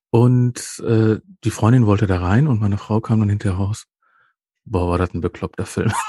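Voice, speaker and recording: With long, frequent pauses at a moderate pace, a man talks in a fairly low, dark, mellow tone that is somewhat breathy, with fairly even intonation and a dry, close sound with no echo. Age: 50s. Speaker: podcast host. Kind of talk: casual chat.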